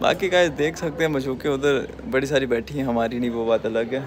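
There is light background noise as a man talks. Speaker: college student vlogger. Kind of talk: casual vlog chat. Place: street. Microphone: phone near.

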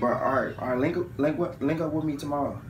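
Through noticeable background noise, a man talks with fairly even intonation. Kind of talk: casual phone call chat, comedic skit. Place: home room. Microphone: phone near.

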